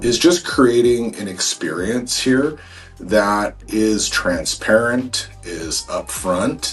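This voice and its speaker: Music plays in the background as a man with an American accent speaks at a very slow pace. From Seattle area, Washington (Snohomish County). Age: 40s. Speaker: real estate agent. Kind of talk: informal promotional explainer to camera. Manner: casual, many fillers and repetitions.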